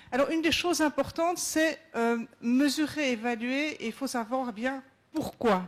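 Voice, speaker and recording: A woman with a Belgian accent and ordinary pitch variation. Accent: Belgian French, slightly sing-song. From Belgium. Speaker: safety manager at a company. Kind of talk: conference presentation. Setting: round table at a conference. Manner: hesitant, many fillers.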